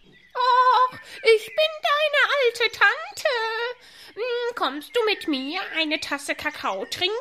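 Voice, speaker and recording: A female-sounding, put-on character voice, pitched extremely high. It moves at a very slow pace. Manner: spiteful, cackling.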